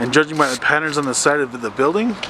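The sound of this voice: A man talks fast in a fairly high voice with ordinary pitch variation. Background noise is clearly heard.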